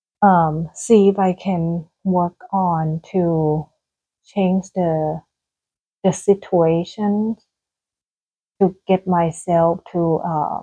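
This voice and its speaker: Speaking very slowly with long, frequent pauses, a woman with a Thai accent uses a fairly low, dark, mellow voice and monotone, flat intonation in a dry, close sound with no echo. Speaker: gardening vlogger. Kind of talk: casual vlog monologue. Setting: indoors at home. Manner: hesitant, many fillers.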